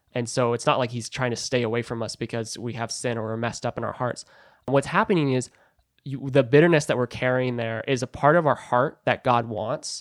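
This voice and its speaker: Fairly even intonation marks a man's ordinary speaking voice. The recording is very clean with a silent background. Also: medium pitch for a man, fairly quick pace. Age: 20s. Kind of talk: interview about faith, personal testimony.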